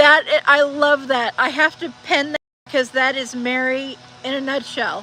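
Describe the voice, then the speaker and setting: In a raised, projected voice, a woman speaks at a fairly slow pace with a high pitch, a bright, sharp tone and fairly even intonation. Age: 50s. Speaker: livestreamer reading chat. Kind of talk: casual livestream chat.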